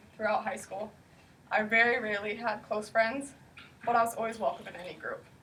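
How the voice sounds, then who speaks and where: A woman's fairly high voice in a Pacific Northwest accent, with fairly even intonation. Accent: Pacific Northwest American. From US Pacific Northwest. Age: 20s. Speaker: eating disorder recovery speaker. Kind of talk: personal testimony speech.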